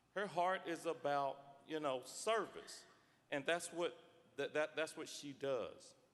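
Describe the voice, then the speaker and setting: A man talks fairly slowly, his fairly high voice showing ordinary pitch variation. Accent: East Tennessee. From East Tennessee, Knox County. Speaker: state legislator. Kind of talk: floor speech. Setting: legislative chamber. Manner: halting, repeats words.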